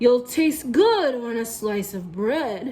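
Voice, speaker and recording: A woman uses a put-on character voice, high-pitched and delivered at a very slow pace. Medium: read story.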